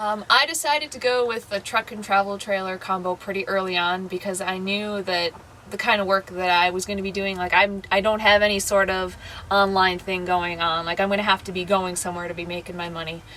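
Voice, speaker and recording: A woman talks at a fairly quick pace in a medium pitch, her intonation fairly even. Noticeable background noise runs under her voice. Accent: American. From US Midwest, Madison, Wisconsin. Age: 20s. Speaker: full-time RVer, seasonal worker. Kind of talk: casual interview, personal story and RV tour. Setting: inside her travel trailer. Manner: casual, with many fillers.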